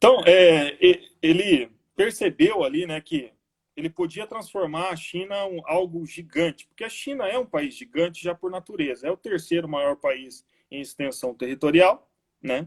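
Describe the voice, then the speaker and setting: A man's high voice at a moderate pace, with lively intonation and big swings in loudness. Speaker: teacher. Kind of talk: online lecture. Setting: live stream.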